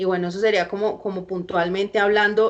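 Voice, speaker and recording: Over a quiet background, a woman speaks at a moderate pace with monotone, flat intonation. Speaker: film lecturer. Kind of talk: lecture. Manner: halting.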